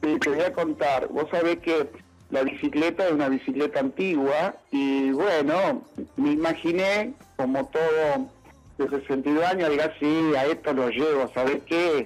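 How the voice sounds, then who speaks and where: A man's fairly high-pitched voice at a fairly slow pace, with ordinary pitch variation, very even loudness and music in the background. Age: 60s. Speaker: factory owner and inventor. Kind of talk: radio interview. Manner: halting, many fillers.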